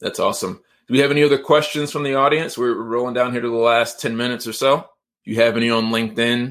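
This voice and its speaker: Using an American accent, a man at medium pitch speaks at a very fast pace. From Georgia, US (Atlanta area). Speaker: podcast host. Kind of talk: interview / live-streamed podcast chat. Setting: livestream / online call.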